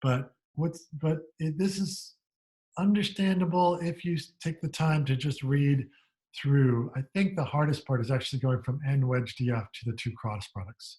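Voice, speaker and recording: A man's fairly high, somewhat breathy voice with a dark, mellow tone, ordinary pitch variation, and a moderate pace. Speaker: university lecturer. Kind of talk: lecture.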